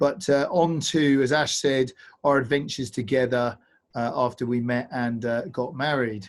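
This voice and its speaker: Speaking at a moderate pace, a man keeps a medium pitch with fairly even intonation. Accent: southern English. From England, Bedford. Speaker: paddling instructor and adventure company owner. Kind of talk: online presentation. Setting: video call.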